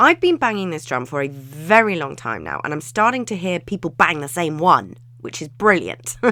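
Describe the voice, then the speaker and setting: A woman talks with hardly any pauses, her tone bright, sharp and animated. Her pitch swings very widely and her loudness rises and falls sharply. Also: fairly low pitch for a woman, moderate pace. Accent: English. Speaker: business and wellbeing coach. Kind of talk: podcast monologue.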